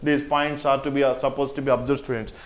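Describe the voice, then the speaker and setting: With an Indian accent, a man is talking. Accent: Indian English, Telugu. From Telangana, India. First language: Telugu. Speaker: teacher. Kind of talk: lecture.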